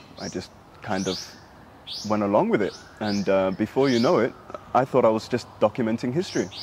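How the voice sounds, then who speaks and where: Over noticeable background noise, a man talks at a fairly quick pace with long, frequent pauses and ordinary pitch variation. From Sudan, raised in diaspora. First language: Arabic. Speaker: human rights activist. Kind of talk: interview. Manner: hesitant, many fillers.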